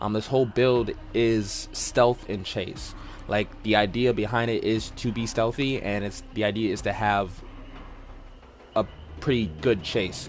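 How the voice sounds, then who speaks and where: Fairly slow and fairly even in intonation, a man talks at a medium pitch. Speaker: gaming content creator. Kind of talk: tutorial. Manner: halting, many fillers.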